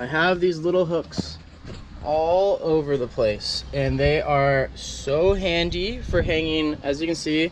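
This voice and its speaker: A man speaks at a fairly slow pace with fairly even intonation. Light background noise can be heard. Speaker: van builder vlogger. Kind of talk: casual vlog chat. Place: car. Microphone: phone near.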